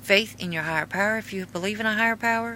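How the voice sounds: With an American accent, a woman speaks at a moderate pace and medium pitch in a bright, sharp tone.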